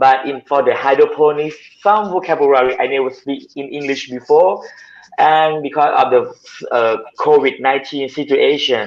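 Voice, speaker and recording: With a Thai accent, a man speaks at a moderate pace. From southern Thailand. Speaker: hydroponic farmer. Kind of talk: video call interview. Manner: halting.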